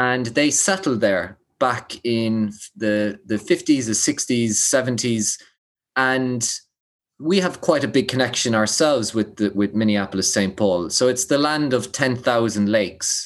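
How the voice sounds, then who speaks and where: In an Irish accent, a man speaks at a fairly slow pace and medium pitch, with ordinary pitch variation, very even loudness and a quiet background. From Ireland. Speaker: public speaker and founder. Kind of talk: casual interview.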